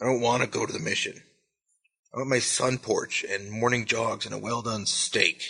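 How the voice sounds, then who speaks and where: Doing a put-on character voice, a man talks in a raspy tone at a medium pitch and a moderate pace. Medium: read story. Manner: whiny, fearful.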